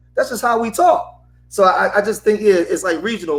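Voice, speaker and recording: A man at a high pitch, with lively intonation and a moderate pace. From Philadelphia, US. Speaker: panelist. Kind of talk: casual panel discussion.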